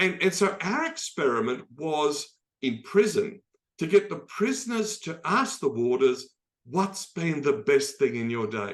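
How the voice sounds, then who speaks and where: He speaks with an Australian accent and a high pitch for a man. His pitch swings very widely. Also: fairly slow pace. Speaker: optimism expert and speaker. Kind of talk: talk in an online dialogue. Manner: conversational, many fillers.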